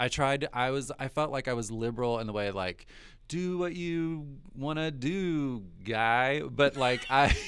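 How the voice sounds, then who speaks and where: Someone with an American accent talks at a fairly slow pace in a normal speaking voice with ordinary pitch variation. The recording is very clean, with a silent background. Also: man, medium pitch for a man. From US South. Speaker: writer and storyteller. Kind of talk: casual chat.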